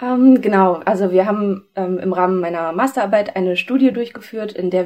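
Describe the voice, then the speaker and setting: Here a woman speaks in a dark, mellow tone. Her pitch varies in an ordinary way. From Ruhr area, Essen. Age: 20s. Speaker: contact lens specialist, award winner. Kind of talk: interview.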